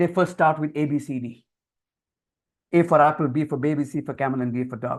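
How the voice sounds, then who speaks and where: This man speaks at a fairly quick pace with an Indian accent. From India (Marathi-speaking, Konkani family from Goa side). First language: Konkani/Marathi. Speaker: communication skills trainer. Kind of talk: webinar lecture. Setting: online webinar.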